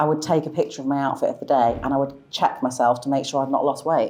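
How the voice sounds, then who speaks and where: A woman speaks very fast with a Manchester accent. Her very deep, low voice stays monotone and flat. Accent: Mancunian, kept after 20 years in the south. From Manchester, northern England. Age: 40s. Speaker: fashion influencer. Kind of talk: interview.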